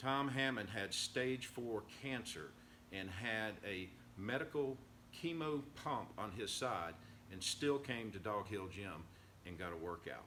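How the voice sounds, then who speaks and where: In a room with audible echo, a man talks at a fairly slow pace with lively intonation and a fairly low pitch. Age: middle-aged. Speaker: fitness vlogger. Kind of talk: casual video update. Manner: slightly slurred, sounds half asleep; occasional stuttering.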